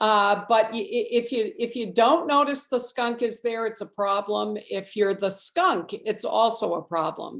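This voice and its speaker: A woman talks at a fairly slow pace with ordinary pitch variation in a plain, everyday voice. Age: 60s. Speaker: state legislator. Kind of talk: panel forum presentation.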